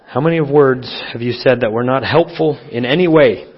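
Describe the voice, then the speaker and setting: A man speaks at a moderate pace with a medium pitch and ordinary pitch variation, over noticeable background noise. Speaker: preacher. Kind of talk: sermon. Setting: church.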